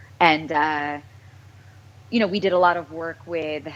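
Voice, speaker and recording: Speaking with an American accent, a woman has a fairly low pitch and ordinary pitch variation. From US, small town. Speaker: voice actress. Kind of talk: interview.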